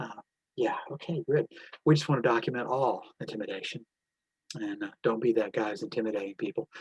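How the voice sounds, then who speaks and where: At a fairly quick pace, a man talks with lively intonation and a somewhat breathy voice. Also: medium pitch for a man. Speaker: election watchdog organizer. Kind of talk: training briefing. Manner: fast; casual, animated.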